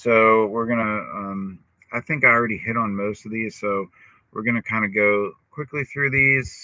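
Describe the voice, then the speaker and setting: A man talks at a moderate speed. His voice sits at a medium pitch. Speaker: psychologist. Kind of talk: casual talk-style lecture. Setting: parked van by the ocean. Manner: monotone; halting, many fillers. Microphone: iPhone audio with glitches.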